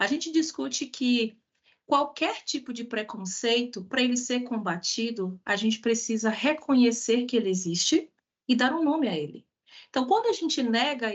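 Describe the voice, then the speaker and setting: This woman speaks with a Bahian accent and a high pitch. Her intonation is lively and her pace moderate. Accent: Bahian Brazilian Portuguese, noticeable. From Bahia, Brazil (Salvador). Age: 30s. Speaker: diversity and inclusion specialist, speaker. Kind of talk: online talk/lecture with audience interaction.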